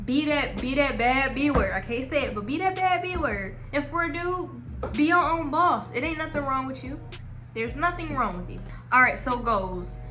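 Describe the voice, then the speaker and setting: A woman's raised, projected voice, high-pitched and lively in intonation, at a moderate pace over noticeable background noise. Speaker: advice vlogger. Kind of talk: casual advice monologue. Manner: halting.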